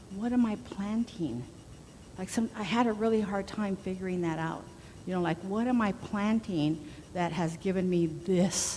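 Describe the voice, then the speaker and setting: A woman with a dark, mellow, somewhat breathy tone talks at a moderate pace with ordinary pitch variation, and room echo is audible. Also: medium pitch for a woman. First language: not English. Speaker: spiritual minister. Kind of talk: sermon. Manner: casual conversational.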